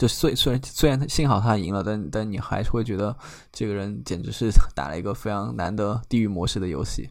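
Audible room echo surrounds a man's fairly low voice. He talks at a fairly quick pace with lively intonation. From China, Chengdu. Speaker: strategy operations at a trading platform. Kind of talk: interview. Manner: halting, many fillers.

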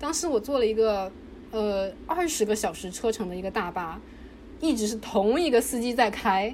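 A woman's fairly high voice, an unremarkable speaking voice with lively intonation. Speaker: PhD student in religious studies. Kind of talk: casual interview.

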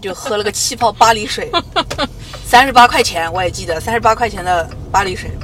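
Amid noticeable background noise, a woman with a fairly high pitch and an animated tone speaks fairly quickly, with ordinary pitch variation, big swings in loudness, and long, frequent pauses. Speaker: podcast host, TV variety show writer-director. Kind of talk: casual chat. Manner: halting, repeats words.

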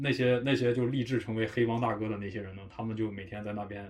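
A man talks at a very fast pace. His medium pitch carries ordinary variation. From Harbin, northeast China. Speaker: podcast host. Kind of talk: casual chat.

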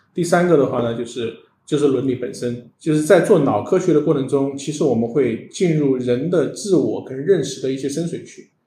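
A man talks at a fairly quick pace with a fairly high pitch. His tone is dark and mellow, and somewhat breathy. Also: ordinary pitch variation, hardly any pauses. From China, Sichuan. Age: 40s. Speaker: tech startup founder and CEO. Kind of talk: interview on a live-streamed show. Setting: live stream studio.

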